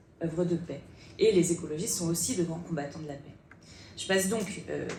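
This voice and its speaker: Her pitch sits fairly low for a woman, and she talks at a fairly quick pace. The intonation is fairly even, with audible room echo around her. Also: big swings in loudness. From France, Bordeaux. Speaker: politician. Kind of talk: panel debate.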